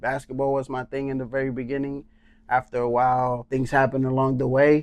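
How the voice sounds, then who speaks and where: Speech in a Puerto Rican accent at a moderate pace. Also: man. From Puerto Rico. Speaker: songwriter and rapper, former basketball player. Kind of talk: casual podcast interview.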